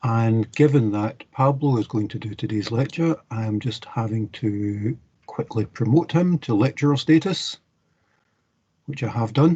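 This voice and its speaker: With a dark, mellow tone and a somewhat breathy quality, this voice takes a fairly slow pace and varies its pitch in an ordinary way. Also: man, medium pitch for a man. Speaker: university lecturer. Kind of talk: online class session.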